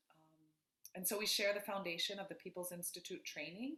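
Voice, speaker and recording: A woman speaks with a bright, sharp tone at a medium pitch. Her pitch variation is ordinary. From Florida. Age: 40s. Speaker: dance artist and community organizer. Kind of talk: interview conversation. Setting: video call from home.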